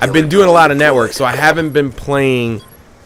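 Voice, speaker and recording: A man speaks at a moderate pace, and noticeable background noise can be heard. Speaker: gaming YouTuber. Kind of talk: gameplay commentary. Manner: casual, conversational.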